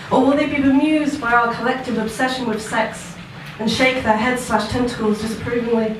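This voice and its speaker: Background noise is noticeable, and room echo is audible. Delivery is at a moderate pace, with ordinary pitch variation. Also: woman. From southern England. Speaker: performance poet. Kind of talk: spoken word poetry performance. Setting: stage with live audience. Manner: soft-spoken.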